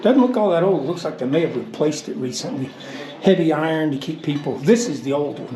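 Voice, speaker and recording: A man with a fairly high voice talks very fast in a lively, up-and-down way, with audible room echo and noticeable background noise. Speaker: vlogger taking missionaries on a trip. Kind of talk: casual vlog narration. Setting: outdoors in a cave. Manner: quiet, talking softly to camera.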